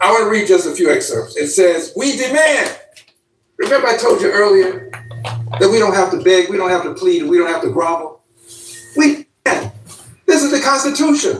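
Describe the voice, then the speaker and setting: A man talks at extremely high pitch with very wide pitch swings. His pace is moderate, with long, frequent pauses and audible room echo. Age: 70s. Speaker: congressman. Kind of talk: political speech. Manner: emphatic, rhetorical repetition.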